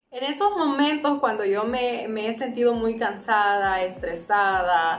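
A woman with a fairly high pitch speaks fairly slowly with lively intonation. Light background noise and audible room echo are present. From Honduras. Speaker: singer, voice-over announcer. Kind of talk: casual talk to camera. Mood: warm, gentle, encouraging. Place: home room.

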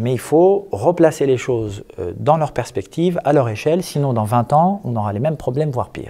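A man speaks at a moderate pace with lively intonation. His tone is dark and mellow. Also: hardly any pauses. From Algeria and France. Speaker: imam and activist; interviewee. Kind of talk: interview. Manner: hesitant, many fillers. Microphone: handheld.

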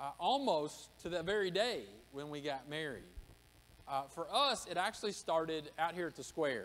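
A man with a high pitch talks at a moderate pace, his intonation lively. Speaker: pastor. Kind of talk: sermon. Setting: church. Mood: warm personal storytelling. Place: church. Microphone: podium.

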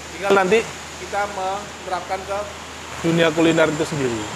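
Against clear background noise, a man with a high-pitched voice talks at a moderate pace.

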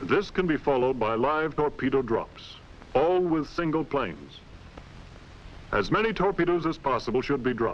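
This is a man with an ordinary speaking voice, pitched fairly high, with lively intonation. He talks at a moderate pace and keeps his loudness very even. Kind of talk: 1940s military training film narration, scripted and instructional. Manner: formal, brisk and authoritative, clipped newsreel-style delivery; measured and matter-of-fact, steady technical briefing.

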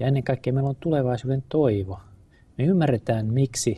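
The voice is dark, mellow and somewhat breathy. It moves at a moderate pace with ordinary pitch variation. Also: man. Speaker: guest. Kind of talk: interview answer. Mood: earnest, calm. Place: studio. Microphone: lapel.

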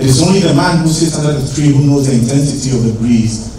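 A man's fairly even delivery amid strong room echo and noticeable background noise. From Ghana. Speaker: poet. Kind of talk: spoken word poetry performance. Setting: stage with audience. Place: hall.

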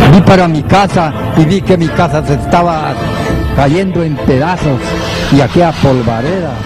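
A man with long, frequent pauses, clear music in the background, and a dry sound with no echo. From Cuilapa, Santa Rosa, Guatemala. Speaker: self-proclaimed prophet. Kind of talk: interview answer. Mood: earnest, recounting frightening visions. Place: studio. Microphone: handheld.

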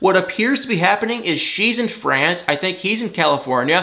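Here a man with an American accent talks at a fairly quick pace. His pitch swings very widely. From Michigan, US. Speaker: celebrity gossip YouTuber. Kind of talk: casual TV recap vlog. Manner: animated. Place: home room.

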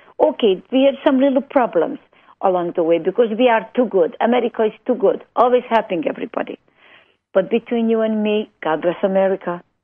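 This woman talks at a fairly quick pace with a Hungarian accent. Her pitch is fairly high and varies in an ordinary way. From Hungary. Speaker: music foundation founder. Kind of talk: radio interview. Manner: animated.

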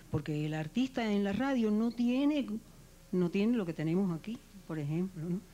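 At a moderate pace, a woman speaks in a dark, mellow tone with very wide pitch swings. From Cuba. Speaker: radio actress and announcer. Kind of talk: TV interview. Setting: TV studio. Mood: warm, reflective. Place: studio. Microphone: handheld.

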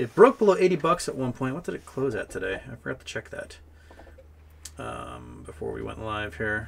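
Very wide pitch swings run through a man's speech. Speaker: live stream host. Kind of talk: casual commentary. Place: home room.

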